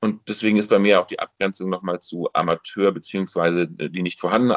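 Moving at a fairly quick pace, a man with a normal speaking voice shows ordinary pitch variation. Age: 40s. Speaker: amateur theatre director and bookseller. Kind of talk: casual chat. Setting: video call.

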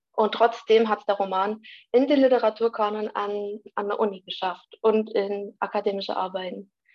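Here a woman talks at a moderate pace. Her pitch is medium. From Vogtland, Saxony, Germany. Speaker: university student. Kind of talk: casual discussion.

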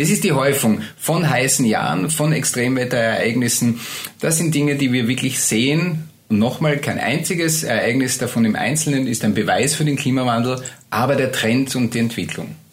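A man's medium-pitched voice with ordinary pitch variation and very even loudness, amid noticeable background noise and audible room echo. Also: moderate pace. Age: 50s. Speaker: meteorologist. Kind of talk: interview.

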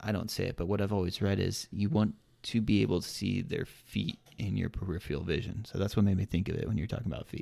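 Talking very fast with hardly any pauses, a man with a fairly low pitch and a dark, mellow tone shows vocal fry and ordinary pitch variation. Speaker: podcast co-host. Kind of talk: casual chat. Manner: casual, filler-heavy.

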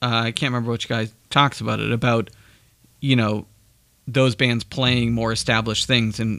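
A man with an American accent and a plain, everyday voice talks at a moderate pace and medium pitch with fairly even intonation, on a very clean recording with a silent background. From Andover, Massachusetts, US. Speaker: podcast co-host. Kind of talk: casual chat.

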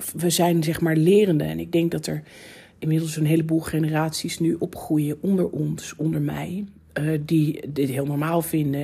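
Monotone, flat intonation marks this somewhat breathy voice, which has a dark, mellow tone. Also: woman. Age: 40s. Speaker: podcast host. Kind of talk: solo podcast monologue. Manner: casual, laughing.

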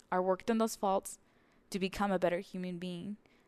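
A woman with a Spanish accent, medium pitch and a fairly quick pace against a quiet background. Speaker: podcast host. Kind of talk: solo podcast monologue, personal reflection. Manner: reflective, slightly halting with fillers.

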